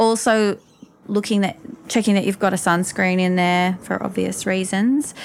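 A woman with an Australian accent speaks at a medium pitch and a moderate pace. Her intonation is fairly even and her loudness stays very even. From Newcastle, Australia. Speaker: makeup artist and beauty blogger. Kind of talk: interview conversation.

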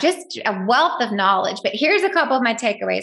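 A woman with a strong Southern US accent talks at a very fast pace in an animated tone with lively intonation, against noticeable background noise. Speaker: podcast host. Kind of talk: casual recap monologue.

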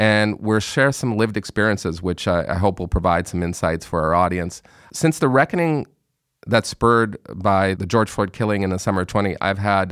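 A man's plain, everyday voice with a Canadian accent, fairly low in pitch, at a fairly quick pace with ordinary pitch variation, on a very clean recording with a silent background. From Montreal area, Canada. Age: 50s. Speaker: podcast host and author. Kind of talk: interview conversation. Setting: studio.

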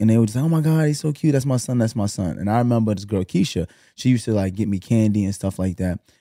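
A man with a Brooklyn accent speaks in a dark, mellow tone at a medium pitch with ordinary pitch variation. The recording is very clean and dry, close with no echo, over a silent background. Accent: New York (Brooklyn). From Brooklyn, New York. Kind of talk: casual chat.

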